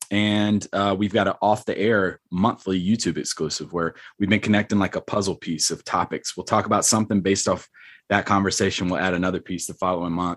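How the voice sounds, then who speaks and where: A man with an unremarkable speaking voice talks in an American accent at a fairly quick pace, his pitch fairly low and intonation fairly even. The recording is very clean with a silent background, and the sound is dry and close with no echo. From North Carolina. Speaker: military instructor and podcast host. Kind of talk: casual interview chat.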